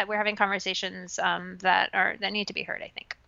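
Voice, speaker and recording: Very fast speech from a woman with fairly high pitch, vocal fry and an American accent. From England and Saudi Arabia, then suburban New York from teens. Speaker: writer, filmmaker and former talent agent. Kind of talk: interview.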